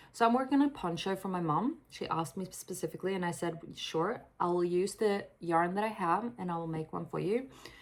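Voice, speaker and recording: Over noticeable background noise, a woman with a medium pitch talks at a fairly quick pace with hardly any pauses and ordinary pitch variation. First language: Swedish. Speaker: crochet designer and author vlogger. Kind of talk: casual vlog talk. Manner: hesitant, many fillers.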